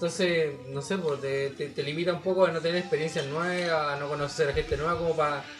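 Very fast, nearly pause-free delivery with fairly even intonation over noticeable background noise. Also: man, fairly high pitch for a man. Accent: Chilean. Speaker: rock musician. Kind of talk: casual chat.

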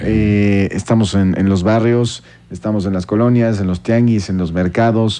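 A man's fairly low-pitched voice, a normal speaking voice, at a fairly slow pace with fairly even intonation. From Mexico, Querétaro. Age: 30s. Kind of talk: radio interview.

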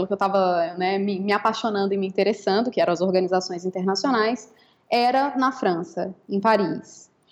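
This woman has a plain, everyday voice, speaking at a moderate pace with ordinary pitch variation. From Brazil. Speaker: law professor and researcher. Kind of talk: interview.

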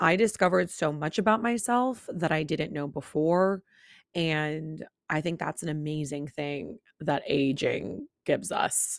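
The woman has a very deep, low pitch. She talks at a fairly slow pace. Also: lively intonation, very clean recording, silent background. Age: 20s. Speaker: podcast host. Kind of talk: casual monologue.

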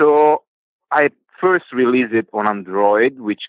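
The delivery is fairly slow. The words come in an Italian accent. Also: man. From Italy. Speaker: hobby game developer. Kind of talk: coaching call. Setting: call. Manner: hesitant, many fillers.

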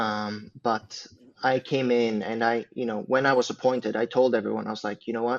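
A man speaks with a Swedish accent at a medium pitch. His intonation is monotone and flat. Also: moderate pace. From Sweden, Uppsala. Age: 20s. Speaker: religious community leader. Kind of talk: casual chat.

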